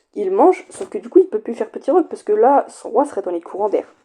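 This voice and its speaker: Very wide pitch swings run through the woman's dark, mellow tone. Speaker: chess YouTuber. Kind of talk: chess game commentary.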